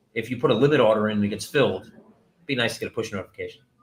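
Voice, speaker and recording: His intonation is fairly even. A man delivers his words at a very fast pace. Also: big swings in loudness. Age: 40s. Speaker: company CEO hosting a Q&A. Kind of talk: livestream Q&A. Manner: loud; casual, rambling with fillers.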